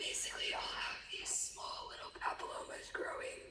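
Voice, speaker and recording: A woman whispers at a fairly quick pace, with audible room echo and noticeable background noise. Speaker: former competitive figure skater. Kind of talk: interview.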